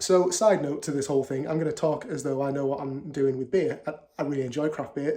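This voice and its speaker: This man's voice runs fairly high, and his words come at a fairly quick clip. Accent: Yorkshire. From Yorkshire, northern England. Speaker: beer vlogger. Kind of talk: casual video monologue. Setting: at home. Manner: hesitant, many fillers and repeats.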